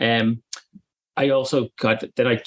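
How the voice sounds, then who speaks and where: A man with an Irish accent speaks with fairly even intonation. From Ireland. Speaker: company managing director. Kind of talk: interview.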